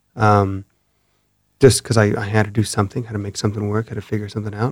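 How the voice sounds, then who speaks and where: This is a man's voice. His pitch is fairly low. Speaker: cinematographer and sketch comedy founder. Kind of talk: casual interview chat. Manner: calm, even tone.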